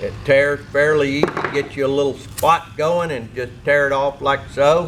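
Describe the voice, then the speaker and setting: A man talks at a fairly slow pace, his fairly high voice held to fairly even intonation. Noticeable background noise runs underneath. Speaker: technical manager. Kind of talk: tutorial.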